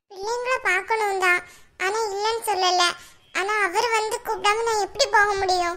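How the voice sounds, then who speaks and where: A woman puts on a cartoonish character voice at an extremely high pitch. She keeps a fairly even intonation at a moderate pace. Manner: hesitant, stammering.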